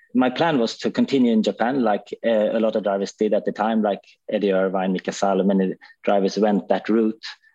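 Fairly even, moderately paced speech with a Swedish accent against a quiet background. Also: man. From Sweden. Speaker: former racing driver, driver manager. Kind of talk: casual chat.

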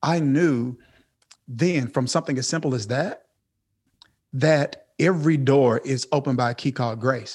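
A man with a Southern US accent talks at a moderate pace and medium pitch, with ordinary pitch variation and long, frequent pauses. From US South, Mississippi. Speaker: pastor. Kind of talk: interview. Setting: video call.

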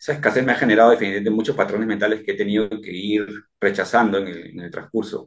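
A man speaks at a very fast pace with fairly low pitch and fairly even intonation. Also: big swings in loudness. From Peru, Chincha. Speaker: police officer and entrepreneur. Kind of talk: interview testimony. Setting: remote call from home. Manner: halting, many fillers and repetitions.

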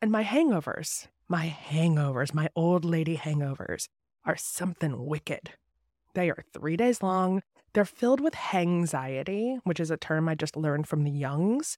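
In an ordinary speaking voice, a woman talks at a moderate pace with fairly low pitch and lively intonation, recorded very cleanly against a silent background with a dry, close sound and no echo. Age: 40s. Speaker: podcast host and novelist. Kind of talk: monologue intro to podcast.

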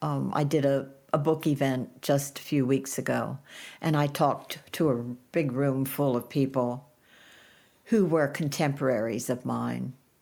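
A dark, mellow tone with vocal fry and fairly even intonation, delivered at a fairly slow pace. The recording is very clean, with a silent background. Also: woman, very deep, low pitch for a woman. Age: 80s+. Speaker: author. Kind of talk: casual chat.

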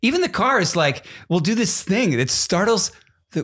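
A man with an American accent and a somewhat breathy voice talks at a moderate pace with very wide pitch swings, in a very clean recording with a silent background. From US East Coast. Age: 20s. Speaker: podcast co-host. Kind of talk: casual chat.

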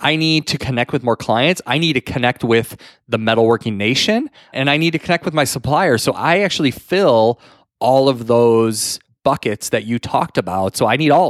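At a moderate pace, a man of medium pitch speaks with lively intonation in an ordinary speaking voice. The recording is very clean, with a silent background and a dry, close sound with no echo. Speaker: podcast co-host and manufacturing business owner. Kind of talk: casual chat. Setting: home studio.

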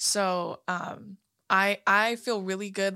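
A woman's bright, sharp tone comes through on a very clean recording with a silent background. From California. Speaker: podcast co-host. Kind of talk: casual chat. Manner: animated.

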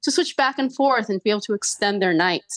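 A woman with a plain, everyday voice talks at a fairly quick pace with lively intonation, recorded with a dry, close sound with no echo against a quiet background. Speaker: journalist. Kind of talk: radio interview.

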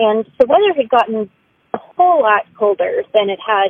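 Speaking at a moderate pace, a woman with an unremarkable speaking voice and a fairly high pitch uses lively intonation. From Austin, Texas. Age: 30s. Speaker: storyteller. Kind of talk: testimony.

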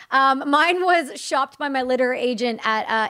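With a Canadian accent, a woman speaks at a moderate pace in a bright, sharp tone. The recording is very clean, with a silent background. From Ontario, Canada. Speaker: combat veteran and entrepreneur. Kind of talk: casual interview. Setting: studio.

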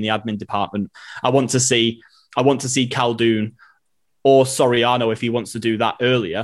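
A man's medium-pitched, monotone voice with flat intonation and a Manchester accent. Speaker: City fan and writer. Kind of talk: casual football chat.

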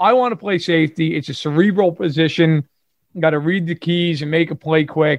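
In a Brooklyn accent, a man talks at a moderate pace with a fairly high pitch. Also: ordinary pitch variation. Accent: New York (Brooklyn). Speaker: sports podcast co-host. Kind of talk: casual chat.

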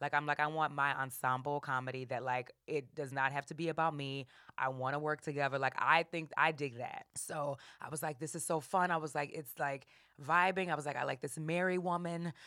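A woman with an American accent has a very deep, low pitch and a bright, sharp tone. She talks at a fairly quick pace in a very clean recording with a silent background. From US South, New Orleans. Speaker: comedic actress and improviser. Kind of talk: casual chat. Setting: studio. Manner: animated.

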